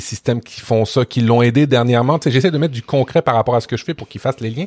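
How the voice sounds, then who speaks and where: Somewhat breathy and at a fairly quick pace, a man with a Quebec accent speaks at a medium pitch with ordinary pitch variation, the sound dry and close with no echo. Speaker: podcast co-host, web professional. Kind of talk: casual chat.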